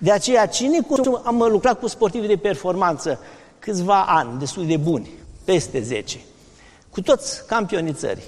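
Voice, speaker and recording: The man's high pitch swings very widely as he talks at a moderate pace. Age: 60s. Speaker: medical doctor, vegetarian diet advocate. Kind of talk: interview in a sermon series.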